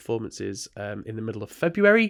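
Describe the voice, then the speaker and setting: A man speaks with an English accent at a medium pitch. The recording is very clean, with a silent background. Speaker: theatre producer and student. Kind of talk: casual chat. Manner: hesitant, many fillers.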